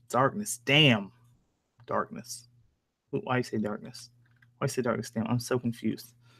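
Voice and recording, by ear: A man speaks at a moderate pace and a medium pitch, with fairly even intonation. His bright, sharp tone carries vocal fry and a slightly husky edge.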